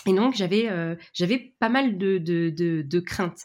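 A woman talks at a very slow pace, her pitch moving in a normal way. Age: 30s. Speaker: business mentor and training company founder. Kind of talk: interview. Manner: hesitant, many fillers.

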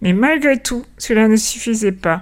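Using a plain, everyday voice, a woman talks at a fairly slow pace. Her pitch is fairly high, with ordinary pitch variation. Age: 40s. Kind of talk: scripted narration.

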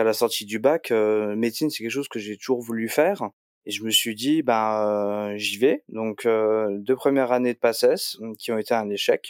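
On a very clean recording with a silent background and a dry, close sound without echo, a man talks at a moderate pace and medium pitch with fairly even intonation. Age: 20s. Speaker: computer science student. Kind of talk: interview. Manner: hesitant, many fillers.

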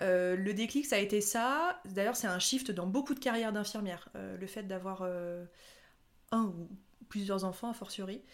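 Her medium pitch and ordinary pitch variation give this woman a normal speaking voice. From France, Haute-Savoie. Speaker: nurse turned content creator. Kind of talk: casual interview.

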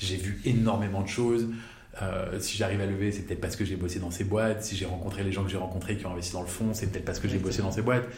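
Amid noticeable background noise and audible room echo, a man with a fairly low pitch talks at a very fast pace. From France, Paris. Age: 30s. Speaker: venture capital investor. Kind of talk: interview. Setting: office. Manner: animated.

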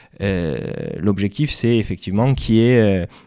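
This man speaks with a fairly low pitch and a dark, mellow tone. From Corsica. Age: 30s. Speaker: entrepreneur. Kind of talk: interview. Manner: halting.

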